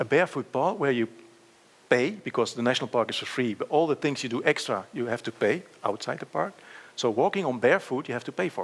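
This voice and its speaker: Very fast speech with lively intonation comes from a man. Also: medium pitch for a man. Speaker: plenary speaker, nature park director. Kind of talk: conference lecture. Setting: conference stage with audience.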